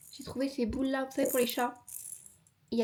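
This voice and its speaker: A woman speaks at a high pitch. Music can be heard in the background. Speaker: YouTuber. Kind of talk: casual talk to camera. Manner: chatty, playful, fast.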